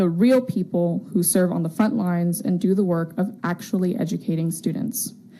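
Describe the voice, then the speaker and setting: A woman with an American accent has a dark, mellow tone that is somewhat breathy. Her intonation stays fairly even. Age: 20s. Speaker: teacher giving public comment. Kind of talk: public comment at a school board meeting. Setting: public board meeting.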